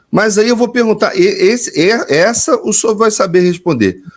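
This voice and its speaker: A man's voice with very wide pitch swings, delivered at a moderate pace. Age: 50s. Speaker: interviewer. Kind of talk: interview.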